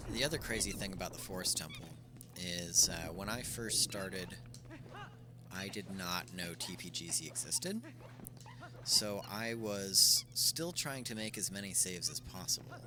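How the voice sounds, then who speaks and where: A man's fairly low-pitched mumbling with lively intonation and long, frequent pauses, over music in the background. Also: moderate pace. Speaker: video game streamer. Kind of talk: live gameplay stream chat. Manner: casual, hesitant with many fillers; mumbling a little.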